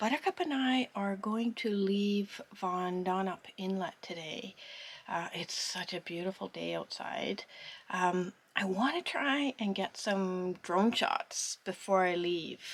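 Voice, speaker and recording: This woman's voice is a whisper. Her pace is very slow. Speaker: sailing vlogger. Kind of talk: casual vlog talk to camera. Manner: whispering.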